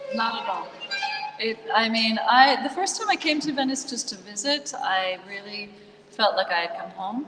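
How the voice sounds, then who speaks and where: Over noticeable background noise, a woman with an American accent speaks at a moderate pace with lively intonation. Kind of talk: casual chat.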